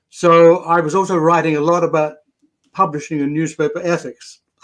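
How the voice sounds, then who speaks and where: With a British accent, a man speaks at a fairly quick pace in a fairly high voice. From Britain. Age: 80s+. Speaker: retired tabloid journalist and novelist. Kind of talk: interview storytelling.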